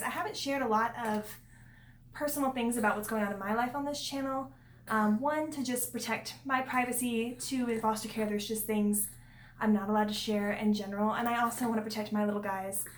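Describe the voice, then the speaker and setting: In a room with audible echo, a woman speaks at a very fast pace with a fairly high pitch and fairly even intonation. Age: 20s. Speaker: vlogger and single foster parent. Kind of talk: casual vlog talk. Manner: conversational with many fillers.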